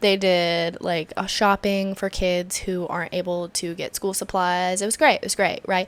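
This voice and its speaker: A woman speaks at a moderate pace with hardly any pauses, her medium-pitched voice monotone and flat. The recording is very clean, with a silent background. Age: 20s. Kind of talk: casual talk to camera. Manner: chatty, rambling.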